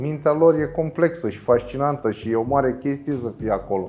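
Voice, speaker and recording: This man's voice sits fairly high, with ordinary pitch variation. His pace is moderate, and noticeable background noise is present. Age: 40s. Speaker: philosophy teacher. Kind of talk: interview.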